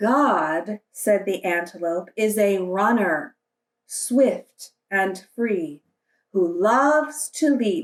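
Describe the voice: Someone reads aloud plainly with lively intonation, and the background is quiet.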